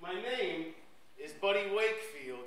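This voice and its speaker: A man's high-pitched voice with audible room echo. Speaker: poet. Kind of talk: performed spoken-word poem. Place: stage. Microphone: handheld.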